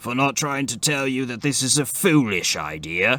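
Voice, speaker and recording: A man puts on a raspy character voice with lively intonation. His pitch is medium and his pace moderate. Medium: read story. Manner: dry, wry understatement.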